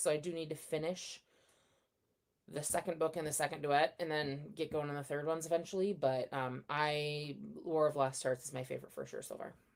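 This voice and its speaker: Using a quiet, raspy put-on character voice, a woman talks at a fairly quick pace with a very deep, low pitch and fairly even intonation. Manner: speaking quietly.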